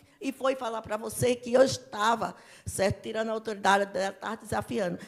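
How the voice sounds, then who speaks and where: Using vocal fry, a woman with a fairly high pitch talks at a moderate pace. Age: 60s. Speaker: local resident. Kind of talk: public meeting speech. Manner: emotional, agitated.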